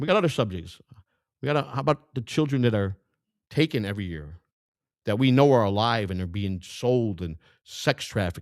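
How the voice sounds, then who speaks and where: A man with a Chicago accent, medium pitch, animated tone and lively intonation, long, frequent pauses, dry, close sound with no echo, and a very clean recording with a silent background. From US Midwest, Chicago. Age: 60s. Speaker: independent political candidate. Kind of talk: campaign speech. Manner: halting, repetitive.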